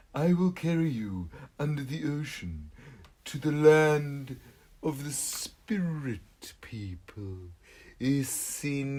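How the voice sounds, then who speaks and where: A man's put-on character voice, fairly high in pitch, at a fairly slow pace with long, frequent pauses. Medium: read story. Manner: calm, kind.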